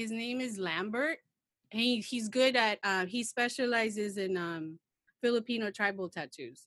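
Here is a woman with an American accent and a normal speaking voice. Her pitch is fairly high, with ordinary variation. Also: fairly slow pace, quiet background. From Philippines. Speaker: podcast guest. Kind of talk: casual chat.

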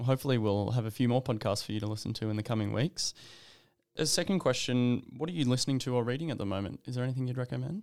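At a very fast pace, a man with an Australian accent speaks at a medium pitch with ordinary pitch variation on a very clean recording with a silent background. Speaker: podcast host, medical student. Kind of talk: interview. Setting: studio.

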